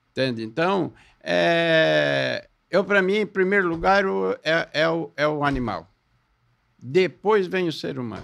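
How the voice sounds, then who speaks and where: The speech moves at a very slow pace, its intonation lively throughout. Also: man, fairly high pitch for a man. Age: 70s. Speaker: gas station owner and animal carer. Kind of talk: casual podcast conversation.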